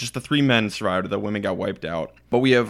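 In a very clean recording with a silent background, a man with an ordinary speaking voice talks at a fairly quick pace, his medium pitch showing ordinary variation. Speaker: podcast co-host. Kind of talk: casual chat.

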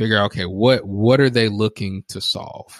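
On a very clean recording with a silent background, a man speaks at a moderate pace in a normal speaking voice, at medium pitch with fairly even intonation. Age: 30s. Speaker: professional speaker and coach. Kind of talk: casual interview.

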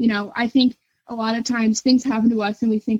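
A woman speaks in a monotone, flat intonation. Her voice is somewhat breathy. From northern Kentucky. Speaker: university student. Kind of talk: interview. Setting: phone call.

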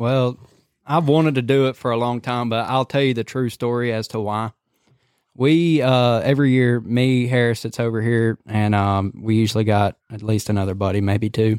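Recorded very cleanly against a silent background, a man with a Southern US accent speaks at a moderate pace with fairly even intonation. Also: medium pitch for a man. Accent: Southern US (Georgia). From US South (Cedartown, Georgia). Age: 20s. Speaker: hunting videographer. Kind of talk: casual chat.

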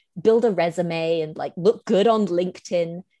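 A woman speaks with a British accent at a moderate pace. Her pitch varies in an ordinary way over a quiet background. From Hong Kong. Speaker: visual artist and writer. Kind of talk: casual interview chat.

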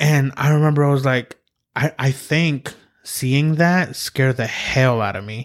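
Speaking at a fairly slow pace, a man with a fairly high pitch and ordinary pitch variation has a plain, everyday voice, recorded dry and close with no echo. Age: 30s. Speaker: podcast host. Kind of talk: casual chat. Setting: studio.

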